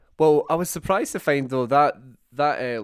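A man speaks with a Scottish accent and ordinary pitch variation. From Scotland. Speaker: podcast host. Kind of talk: casual chat.

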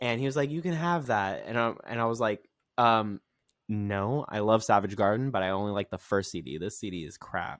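Captured in a very clean recording with a silent background, a man with a normal speaking voice speaks at a fairly low pitch with lively intonation. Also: fairly quick pace. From California. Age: 30s. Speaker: TikTok creator. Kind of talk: casual chat.

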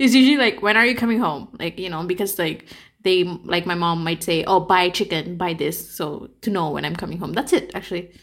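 Animated in tone, a woman speaks at a medium pitch with ordinary pitch variation. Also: fairly quick pace. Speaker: podcast host. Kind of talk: casual chat. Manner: animated, laughs often.

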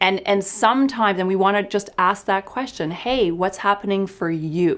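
With a Canadian accent and a normal speaking voice, a woman talks at a moderate pace and medium pitch. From small town Canada. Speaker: clinical psychologist. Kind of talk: casual interview.

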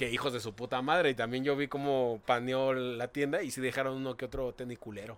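A man speaks at a medium pitch and a fairly quick pace, with hardly any pauses. His intonation stays fairly even in a plain, everyday voice. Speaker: podcast co-host. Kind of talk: casual comedic chat.

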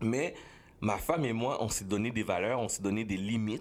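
Here a man talks at a medium pitch. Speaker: former radio host. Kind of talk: casual chat.

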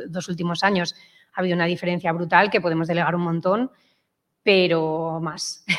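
A woman's fairly low-pitched voice at a very fast pace. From Madrid, Spain. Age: 40s. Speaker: startup co-founder. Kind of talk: interview. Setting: studio with small live audience. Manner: halting.

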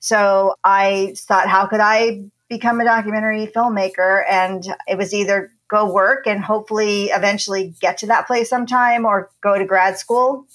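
A woman with an American accent and an unremarkable speaking voice, medium-pitched, at a moderate pace with fairly even intonation. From New Jersey. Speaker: documentary producer and university lecturer. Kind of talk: interview.

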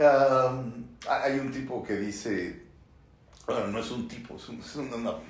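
A man speaks in an animated tone, with audible echo from the room. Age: 40s. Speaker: film critic and YouTuber. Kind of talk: solo commentary video.

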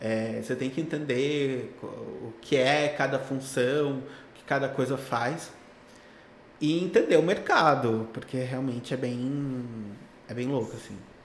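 A man at a very slow pace, fairly even in intonation, with big swings in loudness and audible room echo. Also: medium pitch for a man. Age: 30s. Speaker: tech recruiter. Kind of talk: casual interview.

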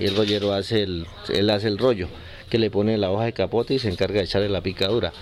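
A man talks in a normal speaking voice at a fairly low pitch. His pace is fairly quick. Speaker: cigar factory owner. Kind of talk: interview.

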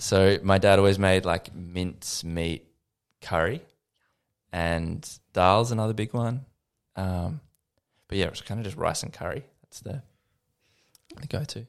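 With an Australian accent, a man speaks at a fairly slow pace, leaving long, frequent pauses, with big swings in loudness and ordinary pitch variation. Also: fairly low pitch for a man, very clean recording, silent background. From Australia, Lilydale in the Yarra Valley, Victoria. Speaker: musician. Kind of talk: casual chat.

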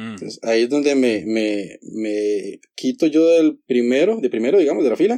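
A man's dark, mellow voice at medium pitch and moderate pace. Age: 20s. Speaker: optometrist. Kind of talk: casual interview chat.

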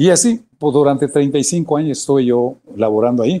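With a dark, mellow tone and lively intonation, a man speaks at a fairly slow pace and a fairly high pitch. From Mexico, Michoacán. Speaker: former basketball player. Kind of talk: interview. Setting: video call. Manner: halting, repetitive.

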